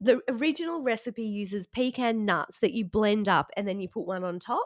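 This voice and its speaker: With an Australian accent, a woman speaks in an animated tone with lively intonation and a fairly high pitch, recorded dry and close with no echo. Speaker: podcast co-host. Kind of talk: casual chat. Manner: animated, laughs a lot.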